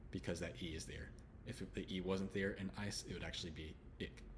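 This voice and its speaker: With a Texan accent and vocal fry, the speaker talks at a fairly quick pace with ordinary pitch variation, in audible room echo. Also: man. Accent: Texan, drops some H sounds. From Texas, Houston. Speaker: English pronunciation teacher. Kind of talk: tutorial.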